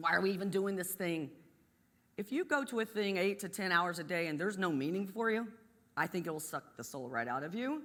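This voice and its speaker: Speaking at a fairly quick pace with an Appalachian accent, a woman lets her pitch swing very widely. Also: medium pitch for a woman. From West Virginia, US. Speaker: energy company executive. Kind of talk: motivational talk.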